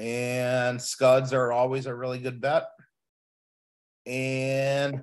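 Over a quiet background, a man speaks. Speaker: guest. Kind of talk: lecture. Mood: relaxed, friendly. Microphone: video call.

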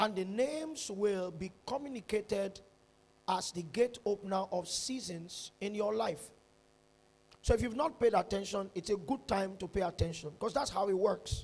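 This man's voice sits at a high pitch with ordinary pitch variation. He talks at a moderate pace. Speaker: preacher. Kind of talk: sermon. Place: church. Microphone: handheld.

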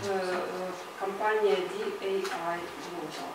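A woman speaks with ordinary pitch variation amid loud background noise and audible room echo. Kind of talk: presentation to an audience. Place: meeting room.

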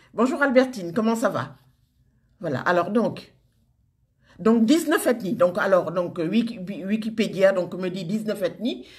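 A somewhat breathy woman speaks at a very slow pace, her pitch swinging very widely. She leaves long, frequent pauses over a quiet background. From Senegal. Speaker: social media group moderator. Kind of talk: casual live video address. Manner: hesitant, many fillers. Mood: warm, enthusiastic. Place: home room. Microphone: phone near.

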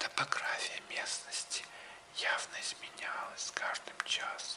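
A man is whispering in a soothing tone. He speaks at a very slow pace. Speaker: audiobook narrator. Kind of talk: audiobook reading. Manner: whispered; slow, soothing. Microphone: studio mic.

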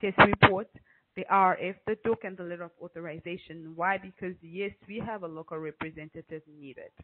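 Here is a woman with a normal speaking voice and a fairly low pitch. She talks at a moderate pace with fairly even intonation. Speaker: telecom compliance company director. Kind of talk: webinar presentation. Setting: video call.

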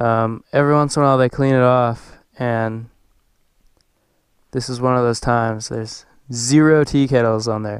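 A man speaks at a moderate pace with ordinary pitch variation, his voice dry with no echo against a quiet background. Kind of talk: casual vlog chat. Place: open country. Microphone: helmet.

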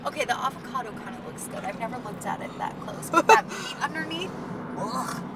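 At a moderate pace, a woman speaks over loud background noise. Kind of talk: casual banter between friends. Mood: urgent, joking, laughing. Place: car. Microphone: phone near.

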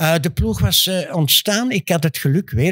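In an Antwerp accent, a man talks at a fairly slow pace against a quiet background, the sound dry with no echo. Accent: Antwerp Flemish. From Antwerp, Belgium; Belgium. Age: 80s+. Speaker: former professional basketball player; guest. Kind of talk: interview answer. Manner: boastful, lively. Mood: confident, bragging storytelling. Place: studio. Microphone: studio mic.

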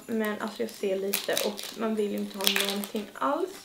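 A woman speaks over faint music in the background. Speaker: vlogger. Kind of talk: casual unboxing chat. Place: home room. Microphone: camera far.

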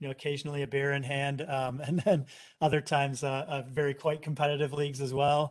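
With an American accent, a man speaks at a moderate pace and a fairly high pitch in a monotone, flat intonation. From Chicago area, US Midwest. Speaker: software company executive. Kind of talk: casual interview.

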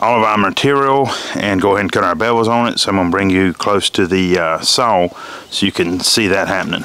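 A man speaks in an ordinary speaking voice, fairly low in pitch with ordinary pitch variation. His pace is fairly quick, and the sound is dry with no echo. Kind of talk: tutorial. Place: open country.

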